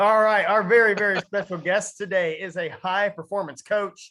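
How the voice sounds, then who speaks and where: A man's tone is bright and sharp. He talks at a moderate pace. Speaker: podcast host. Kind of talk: casual chat; guest introduction. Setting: podcast recording.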